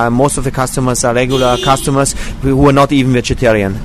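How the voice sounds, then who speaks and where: A man talks fairly quickly while noticeable noise sounds in the background. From Austria. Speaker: vegan restaurant owner. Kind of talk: interview. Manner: halting, many fillers.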